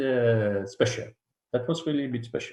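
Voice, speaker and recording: Speaking in a dark, mellow tone, a man delivers the lines. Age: 60s. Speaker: dentist. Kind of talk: interview. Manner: halting.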